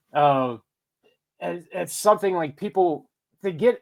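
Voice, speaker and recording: Speaking with a Pittsburgh accent, a man uses ordinary pitch variation. The recording is very clean, the background silent. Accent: Pittsburgh Yinzer. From Pittsburgh, Pennsylvania. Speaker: paranormal podcaster. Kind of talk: casual chat.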